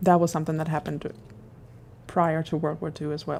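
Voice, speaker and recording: A woman with a German accent talks at a very fast pace in a dark, mellow tone. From Germany. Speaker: guest co-host. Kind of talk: casual chat.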